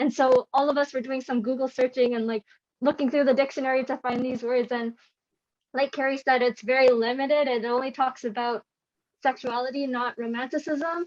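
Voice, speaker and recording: In a Canadian accent, this voice moves at a fairly quick pace with monotone, flat intonation and a dry, close sound with no echo. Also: woman, high pitch for a woman. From Canada. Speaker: panelist. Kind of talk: panel discussion.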